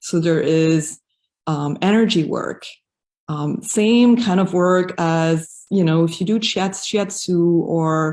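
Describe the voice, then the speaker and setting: On a very clean recording with a silent background, a woman with a slight non-native accent speaks at a fairly low pitch with fairly even intonation. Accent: slight foreign. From raised in Africa, mostly French-speaking countries; German. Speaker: yoga teacher. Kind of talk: interview. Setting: live video stream.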